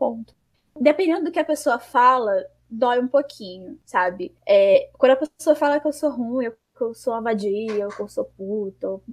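Her intonation is lively. This woman's pitch sits high. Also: moderate pace. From Rio de Janeiro, Brazil. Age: 20s. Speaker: esports project founder. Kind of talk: interview. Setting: remote call.

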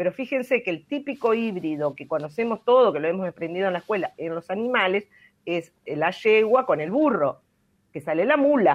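A woman speaks at a medium pitch and a moderate pace. Her pitch swings very widely. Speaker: environmental science expert, weekly radio segment. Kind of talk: explanatory talk on radio.

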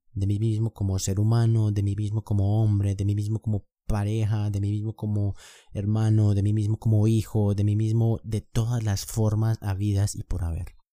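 Over a very clean recording with a silent background and a dry, close sound with no echo, a man speaks at a moderate pace in a fairly low, dark, mellow voice with monotone, flat intonation. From Colombia. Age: 20s. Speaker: podcast host. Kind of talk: casual monologue.

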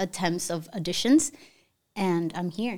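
In a very clean recording with a silent background, a woman speaks with a Spanish accent at a medium pitch. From Cuba. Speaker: singer-songwriter and DJ. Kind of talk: casual interview chat, Spanglish. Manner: code-switching English and Spanish.

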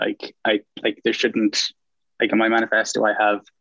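An Irish accent comes through as a man talks at a fairly quick pace. The sound is dry and close with no echo. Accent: Irish (Galway). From Ireland, Galway. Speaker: student election candidate. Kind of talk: interview.

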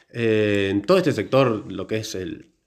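A man's voice with a fairly low pitch. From Argentina, Córdoba. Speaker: biologist, podcast co-host. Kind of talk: casual chat.

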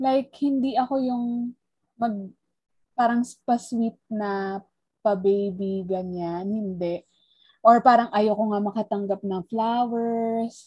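A woman speaks at a very slow pace in a fairly high, somewhat breathy voice. Her tone is dark and mellow, with fairly even intonation. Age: 30s. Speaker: podcast co-host. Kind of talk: casual chat.

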